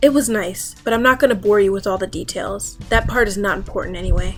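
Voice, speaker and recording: A woman talking at a fairly quick pace with ordinary pitch variation, music in the background. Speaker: reddit story narrator. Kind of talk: horror story reading.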